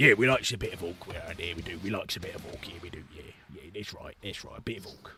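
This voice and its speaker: Using a put-on character voice, a man rattles along at a very fast pace with a fairly low pitch. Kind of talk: rough, ungrammatical.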